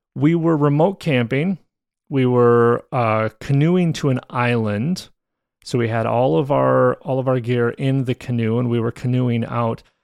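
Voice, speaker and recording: A man speaks in an unremarkable speaking voice at medium pitch, with ordinary pitch variation and a fairly slow pace. The background is quiet. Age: 40s. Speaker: podcast host. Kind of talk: solo storytelling podcast. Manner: casual with frequent fillers and repetitions.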